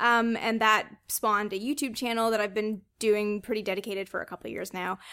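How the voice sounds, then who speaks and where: A woman with a Canadian accent, fairly high-pitched and bright, sharp in tone, at a fairly quick pace with fairly even intonation, on a very clean recording with a silent background. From Canada. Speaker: author and space flight historian. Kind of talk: casual interview chat. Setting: host's home.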